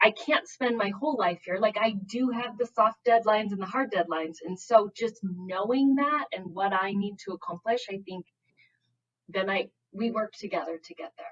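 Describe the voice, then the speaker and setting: A woman with a Minnesotan accent speaks at a moderate pace with lively intonation. Her loudness swings widely. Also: medium pitch for a woman. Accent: Minnesota. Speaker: math specialist, teacher. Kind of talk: casual interview chat.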